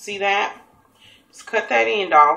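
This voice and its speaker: A woman talks with a Southern US accent. She speaks at a fairly slow pace. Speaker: cooking show host. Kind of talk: cooking tutorial. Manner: casual, chatty.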